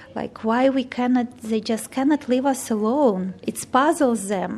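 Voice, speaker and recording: Against noticeable background noise, a woman with a non-native accent speaks at a fairly slow pace with ordinary pitch variation. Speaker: volunteer with holocaust survivors. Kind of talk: interview. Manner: halting.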